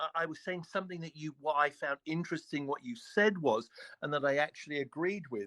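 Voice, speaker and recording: A man talks at a fairly quick pace with a British accent. The sound is dry and close, with no echo. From United Kingdom. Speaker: religious debater on a live stream. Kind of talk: heated debate. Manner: halting, frequent restarts and filler.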